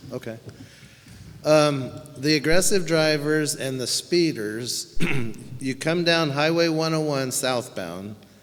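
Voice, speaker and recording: The voice carries an American accent and moves at a very slow pace. Long, frequent pauses occur, with noticeable background noise behind it. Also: man, fairly high pitch for a man, ordinary pitch variation. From Santa Ynez Valley, California. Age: 70s. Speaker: local resident, public commenter. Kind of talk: public comment at meeting.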